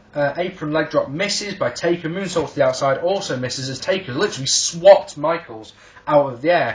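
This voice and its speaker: A man with an English accent speaks at a fairly quick pace in a high pitch. His pitch varies in an ordinary way, with noticeable background noise behind him. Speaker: wrestling reviewer. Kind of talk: video review. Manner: animated; halting.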